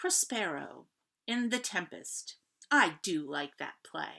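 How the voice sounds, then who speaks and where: A female-sounding put-on character voice, fairly low in pitch, speaks at a fairly slow pace. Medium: read story. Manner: pleased, quoting.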